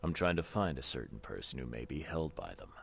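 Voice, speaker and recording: A man puts on a character voice with a very deep, low pitch. He talks at a very fast pace, with big swings in loudness. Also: ordinary pitch variation. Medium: video game. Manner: terse, calm.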